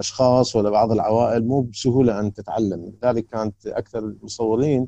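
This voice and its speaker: Speaking in an Iraqi accent, a man with a dark, mellow tone and fairly low pitch talks at a moderate pace with fairly even intonation. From Iraq, Karbala. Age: 60s. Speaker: photographer, photography society president. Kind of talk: interview. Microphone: choppy audio connection.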